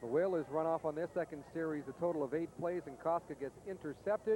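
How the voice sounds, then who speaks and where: Over noticeable background noise, a man with a high-pitched voice talks at a fairly quick pace with ordinary pitch variation. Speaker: football color commentator. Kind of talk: live commentary. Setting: high school football stadium broadcast.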